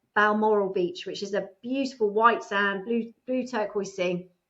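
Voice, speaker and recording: A woman's fairly high voice with a British accent, at a moderate pace against a quiet background. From England. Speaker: divorce coach. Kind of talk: interview.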